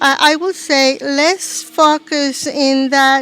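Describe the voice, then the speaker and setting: With a Spanish accent and fairly even intonation, a woman with a high pitch speaks over noticeable background noise. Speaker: ministry leader and workshop speaker. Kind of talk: interview. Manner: halting.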